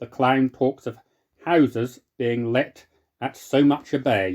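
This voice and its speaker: In a normal speaking voice with medium pitch and ordinary pitch variation, a man is heard in a very clean recording with a silent background and a dry, close sound with no echo. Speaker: podcaster. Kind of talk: reading aloud from an old dialect glossary.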